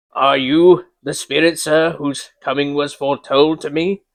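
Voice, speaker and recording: A put-on character voice in a monotone, flat intonation over a quiet background. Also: man, fairly high pitch for a man, moderate pace. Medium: read story.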